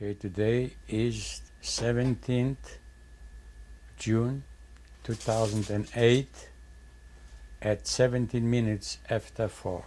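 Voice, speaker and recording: A man at a very slow pace with long, frequent pauses. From Poland. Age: 80s+. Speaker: Holocaust survivor. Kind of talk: testimony.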